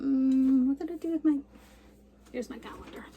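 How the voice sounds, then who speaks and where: Noticeable background noise under a high-pitched woman's voice. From Canada. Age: 60s. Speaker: cross stitch vlogger. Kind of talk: casual chat.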